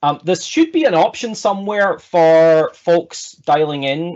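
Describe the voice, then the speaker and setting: A man's high-pitched voice with an American accent at a fairly slow pace. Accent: Scottish with slight American tinge. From Scotland. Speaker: agile consultant and speaker. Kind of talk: online presentation talk. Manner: hesitant, many fillers.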